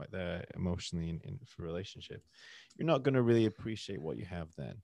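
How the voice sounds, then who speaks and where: A man's very deep, low pitch with ordinary pitch variation, on a very clean recording with a silent background. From northern England. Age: 20s. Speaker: English teacher and podcaster. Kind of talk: casual interview chat.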